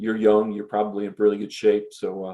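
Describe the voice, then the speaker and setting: A man's fairly low, dark, mellow voice with an American accent keeps a fairly even intonation. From US Northeast (western New York State). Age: 60s. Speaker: association executive director and former Air Force aerospace physiologist. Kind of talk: interview answering questions from young audience. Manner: halting, many fillers and repetitions.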